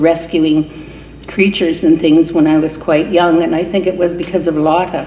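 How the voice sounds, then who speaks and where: A woman talks with a Canadian accent in a fairly low voice. Background noise is noticeable. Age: 70s. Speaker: reverend and peace activist. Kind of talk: award acceptance speech.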